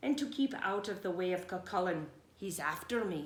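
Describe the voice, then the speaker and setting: A woman puts on a character voice at medium pitch, speaking at a moderate pace. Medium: read story.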